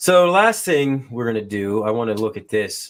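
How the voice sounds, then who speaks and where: A fairly low male voice with a Western Pennsylvania accent, at a fairly slow pace with lively intonation. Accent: Western Pennsylvania accent, noticeable. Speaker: podcast host. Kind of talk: casual chat.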